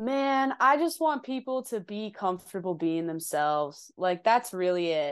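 A woman's animated voice with a New Jersey accent, medium pitch, very wide pitch swings and a fairly slow pace, over a quiet background. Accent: New Jersey-tinged. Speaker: indie musician. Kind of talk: casual chat.

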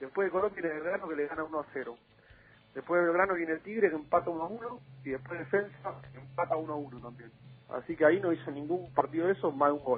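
A man at a fairly high pitch, talking at a very fast pace, with ordinary pitch variation and big swings in loudness. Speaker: football journalist. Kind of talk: casual chat.

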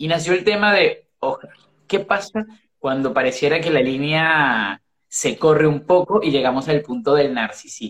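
Speaking in an unremarkable speaking voice, a man has a fairly high pitch. He talks at a fairly slow pace with lively intonation. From Caribbean. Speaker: life coach. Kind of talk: casual chat. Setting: video livestream. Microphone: phone audio, initially bad.

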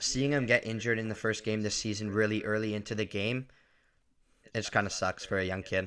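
In an Ontario accent, a man speaks at a very fast pace with a fairly low pitch and a monotone, flat intonation. The recording is very clean, with a silent background. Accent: Canadian (Ontario). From Ontario, Canada (Markham). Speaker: hockey podcast co-host. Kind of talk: casual chat.

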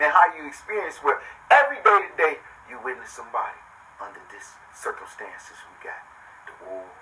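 Speech proceeds at a moderate pace while noticeable background noise is heard. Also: man. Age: 40s. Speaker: podcast host. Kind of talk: casual monologue. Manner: animated.

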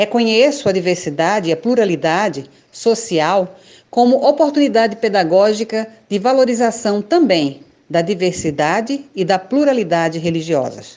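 Her medium-pitched voice makes very wide pitch swings at a moderate pace against a quiet background. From Brazil, Recife, Pernambuco. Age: 50s. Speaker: theologian and activist. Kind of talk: prepared reflection. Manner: formal.

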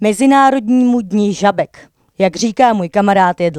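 The sound is dry and close with no echo as a woman talks with ordinary pitch variation. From Czech Sudetes, Jáchymov area. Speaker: slam poet. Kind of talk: casual interview; slam poetry performance.

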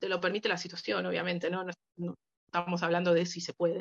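The sound is dry and close, with no echo. A woman speaks in a Rioplatense accent. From Argentina, Buenos Aires. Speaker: biochemistry student and language assistant. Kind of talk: casual interview chat.

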